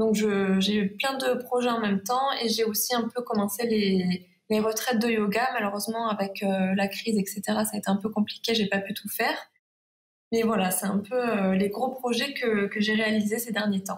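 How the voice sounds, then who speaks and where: A woman's fairly high voice at a moderate pace. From Provence, southern France. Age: 20s. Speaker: watercolour illustrator. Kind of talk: interview.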